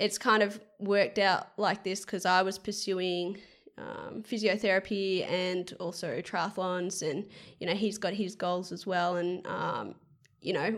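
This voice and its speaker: A woman's medium-pitched voice at a fairly slow pace, with fairly even intonation, on a very clean recording over a silent background. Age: 20s. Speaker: professional triathlete. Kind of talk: casual chat.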